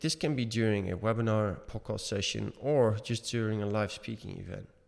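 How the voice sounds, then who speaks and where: On a very clean recording with a silent background, a man speaks at a moderate pace in a fairly low pitch. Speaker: podcast co-host. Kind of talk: casual chat. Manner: halting.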